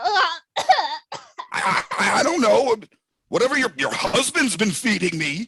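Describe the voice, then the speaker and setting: A man puts on a character voice, raised and projected at an extremely high pitch, with very wide pitch swings, a fairly slow pace and long, frequent pauses. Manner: stammering, flustered, indignant.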